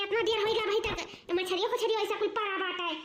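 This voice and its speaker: A woman puts on a cartoonish character voice at an extremely high pitch. She talks fairly quickly. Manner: loud, scolding, homely.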